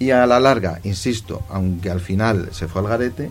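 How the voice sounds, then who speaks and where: A man's fairly low voice at a moderate pace, with audible room echo and music in the background. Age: 50s. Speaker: clothing shop manager. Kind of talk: interview.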